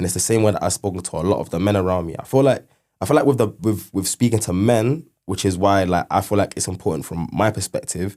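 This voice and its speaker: On a very clean recording with a silent background, a man speaks very fast in a fairly low voice with a dark, mellow tone. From English Midlands and Yorkshire (Leicester, Leeds). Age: 20s. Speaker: intern alumnus. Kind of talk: podcast interview. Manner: casual, filler-heavy.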